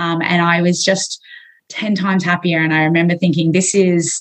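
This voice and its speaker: With an Australian accent, a woman talks at a moderate pace in a fairly low pitch, her intonation monotone and flat. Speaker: physiotherapist and strength coach. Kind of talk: interview conversation.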